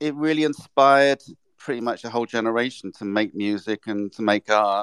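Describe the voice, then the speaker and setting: In a very clean recording with a silent background and a dry, close sound without echo, a man with an English accent speaks at medium pitch with ordinary pitch variation. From England. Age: 60s. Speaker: artist and illustrator. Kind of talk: interview.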